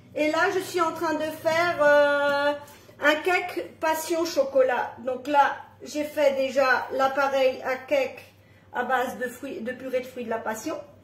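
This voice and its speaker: The woman's voice is high in pitch and very slow. There is audible room echo. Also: ordinary pitch variation. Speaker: home cooking presenter. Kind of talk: live cooking tutorial. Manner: casual, with fillers.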